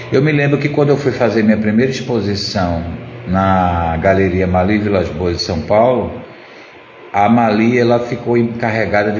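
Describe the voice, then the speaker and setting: A man at a fairly low pitch and moderate pace, with audible room echo and noticeable background noise. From Pernambuco, Brazil. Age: 60s. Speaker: ceramic artist. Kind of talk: casual live stream chat. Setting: live stream.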